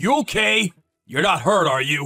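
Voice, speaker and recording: A raspy, cartoonish character voice from a man, fairly high in pitch with very wide pitch swings, at a moderate pace over background music. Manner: blunt, forceful.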